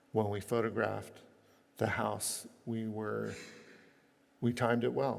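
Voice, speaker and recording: Audible room echo surrounds a man who speaks at a fairly slow pace with long, frequent pauses. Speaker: architect. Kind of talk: lecture.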